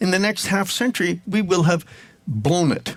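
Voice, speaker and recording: This man has a high-pitched voice. He speaks at a moderate pace. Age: 70s. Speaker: ecologist and author. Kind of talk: interview. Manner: emphatic.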